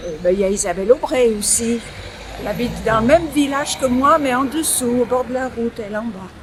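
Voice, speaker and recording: A woman with a high voice and ordinary pitch variation speaks fairly quickly, noticeable background noise running underneath. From Ardèche, France. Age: 80s+. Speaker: local resident, former municipal councillor. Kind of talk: interview.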